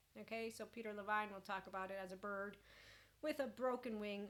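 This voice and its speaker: Here is a woman with a normal speaking voice. Her pitch is medium and her intonation fairly even. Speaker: life coach and podcast host. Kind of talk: casual spiritual self-help talk.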